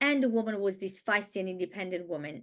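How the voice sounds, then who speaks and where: This woman speaks with an Italian accent. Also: quiet background. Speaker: Italian language teacher. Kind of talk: webinar presentation. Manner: halting.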